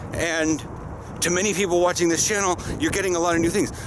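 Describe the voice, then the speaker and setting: A high-pitched man's voice with an American accent over noticeable background noise. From US Pacific Northwest. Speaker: vlogger and football player. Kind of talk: casual vlog monologue. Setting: outdoors, walking.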